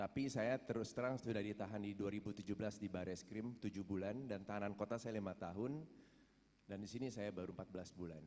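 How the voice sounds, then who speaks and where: Talking at a very fast pace, a man with a fairly low pitch has a dark, mellow tone and fairly even intonation. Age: 50s. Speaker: prison inmate. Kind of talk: testimony. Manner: halting.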